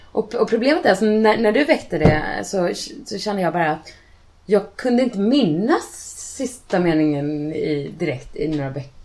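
Her pitch is medium, and it swings very widely as this woman talks at a moderate pace. Noticeable background noise is present. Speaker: author. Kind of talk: casual chat. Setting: in a home kitchen, in person.

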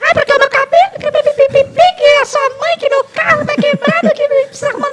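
A man puts on a character voice with an extremely high pitch. He moves at a moderate pace with hardly any pauses. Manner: exaggerated, whiny, mocking.

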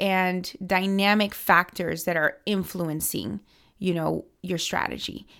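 A woman with an American accent has a bright, sharp tone on a very clean recording with a silent background. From US, Miami. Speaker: political organization director. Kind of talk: interview.

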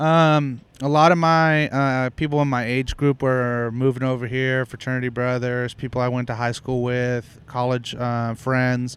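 Speaking with a Texan accent, a man keeps a monotone, flat intonation at a medium pitch. His pace is fairly slow, with hardly any pauses. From Houston, Texas. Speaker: barbecue pitmaster and restaurant owner. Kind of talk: casual interview. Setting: at his restaurant.

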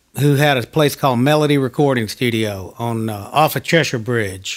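This man has an ordinary speaking voice, talking at a moderate pace with ordinary pitch variation. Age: 50s. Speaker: session guitarist. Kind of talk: interview. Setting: home studio.

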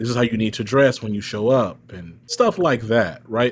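A man with an American accent and a plain, everyday voice talks at a moderate pace and medium pitch, with ordinary pitch variation. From Texas. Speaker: diversity and inclusion entrepreneur. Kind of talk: panel interview. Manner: articulate.

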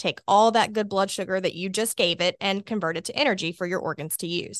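A woman speaks in an Alabama accent with fairly even intonation, in a dry, close sound with no echo. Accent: Southern US (Alabama). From Alabama, US South (Birmingham). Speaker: obesity medicine doctor. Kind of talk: expert interview explaining medicine.

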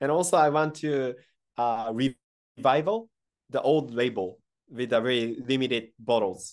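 Speaking fairly slowly, a man with a Japanese accent shows ordinary pitch variation. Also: medium pitch for a man. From Japan, Kyoto. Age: 30s. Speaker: sake brewery CEO. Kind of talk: interview.

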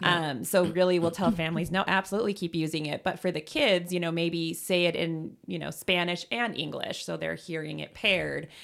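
Her fairly low pitch marked by vocal fry, a woman speaks at a fairly quick pace with hardly any pauses and fairly even intonation. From US, raised in Germany until about 10. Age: 30s. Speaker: pediatric speech therapist. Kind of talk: interview. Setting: home closet studio.

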